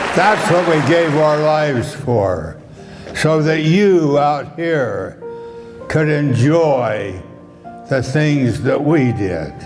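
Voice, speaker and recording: With music in the background, a man speaks at a very slow pace and a fairly high pitch. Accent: American. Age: 90s. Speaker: war veteran. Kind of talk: Veterans Day speech to an audience.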